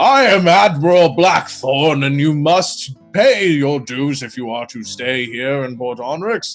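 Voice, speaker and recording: Over faint background music, a man uses a put-on character voice, fairly high in pitch, at a fairly slow pace. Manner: authoritative, commanding.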